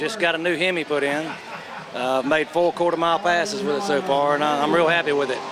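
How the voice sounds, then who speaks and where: A man with an American accent, fairly high-pitched, at a very fast pace, fairly even intonation and very even loudness over noticeable background noise. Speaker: drag racer. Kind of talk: interview. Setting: outdoors.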